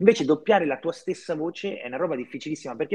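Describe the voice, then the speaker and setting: A man with a fairly high voice talks very fast with lively intonation, the sound dry and close with no echo. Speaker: actor and film producer. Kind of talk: casual interview.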